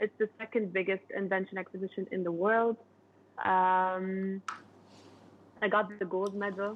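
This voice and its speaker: At a fairly slow pace, a woman with a medium pitch speaks in a flat monotone, leaving long, frequent pauses. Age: 20s. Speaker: inventor. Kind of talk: interview. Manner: casual, conversational.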